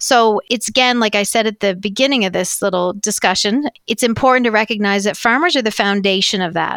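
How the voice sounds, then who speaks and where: This woman has a normal speaking voice with ordinary pitch variation. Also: fairly high pitch for a woman, fairly quick pace, hardly any pauses, dry, close sound with no echo. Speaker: agriculture industry leader. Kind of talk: interview.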